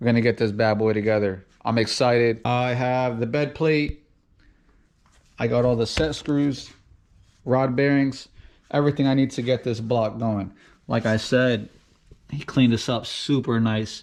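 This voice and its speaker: A man speaks at a moderate pace with a medium pitch. His intonation stays fairly even, broken by long, frequent pauses. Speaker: car enthusiast YouTuber. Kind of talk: garage build vlog.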